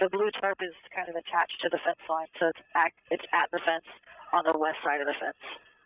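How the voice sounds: With a dry, close sound and no echo, a man speaks at a fairly quick pace and fairly high pitch, keeping his intonation fairly even.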